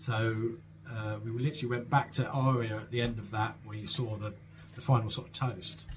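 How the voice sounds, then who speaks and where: Speaking with a South London accent, a man talks at a fairly quick pace with medium pitch and fairly even intonation. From South London, England. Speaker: vlogger. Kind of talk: Q&A answering viewer questions. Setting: solo at home with a mug of tea. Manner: hesitant, many fillers and repeats.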